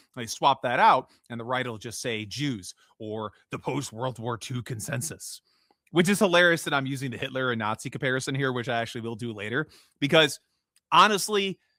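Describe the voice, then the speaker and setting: Recorded very cleanly with a silent background and a dry, close sound with no echo, a man with a Midwestern American accent speaks at a fairly quick pace and medium pitch in a bright, sharp tone, with lively intonation and big swings in loudness. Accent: generic Midwestern American. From US Midwest. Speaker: podcast host. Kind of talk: solo commentary podcast. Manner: casual, with frequent fillers and restarts.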